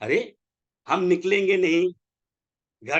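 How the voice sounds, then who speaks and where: A man with a high pitch and a bright, sharp tone speaks in a raised, projected voice. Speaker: network marketing leader. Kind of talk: motivational webinar talk. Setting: online webinar. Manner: animated, exhorting; blunt.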